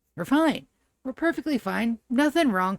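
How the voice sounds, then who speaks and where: Vocal fry colors a woman's moderate-paced speech, heard as a dry, close sound with no echo. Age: 40s. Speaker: video game streamer. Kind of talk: live gameplay commentary. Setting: live stream at home, early morning.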